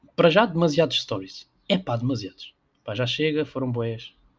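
A somewhat breathy man in a European Portuguese accent, at a fairly quick pace. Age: 20s. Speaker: podcaster. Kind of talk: casual solo monologue. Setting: home room with window open. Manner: hesitant, many fillers.

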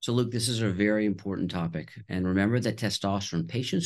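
Against a quiet background, a man with an American accent and a fairly low pitch talks at a very fast pace. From Texas (Houston). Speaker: urologist. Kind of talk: interview.

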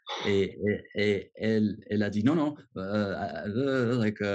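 This man's voice has a dark, mellow tone and fairly low pitch. His pitch varies in an ordinary way. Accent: English. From US, Washington. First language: English (speaking French). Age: 30s. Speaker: expat. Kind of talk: interview. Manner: halting, many repetitions.

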